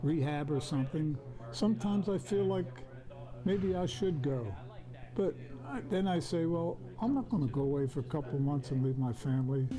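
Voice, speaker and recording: Music plays in the background as a man speaks. His voice is fairly high, with ordinary pitch variation. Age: 80s+. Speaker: elderly patient. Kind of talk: news interview. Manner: halting.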